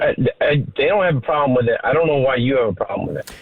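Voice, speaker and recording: Noticeable noise fills the background. A man talks very quickly over it. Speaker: radio call-in guest.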